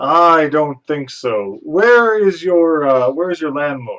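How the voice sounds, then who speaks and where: In a put-on character voice, a man talks fairly slowly at a fairly high pitch. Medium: actual play. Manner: formal, courtly.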